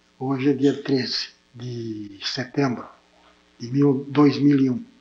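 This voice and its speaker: Very slow and dark, mellow in tone, a man's medium-pitched voice shows ordinary pitch variation and big swings in loudness. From Brazil, interior of São Paulo state (Santa Adélia). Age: 70s. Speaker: town pioneer, interviewee. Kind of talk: oral history interview. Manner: halting, with repetitions.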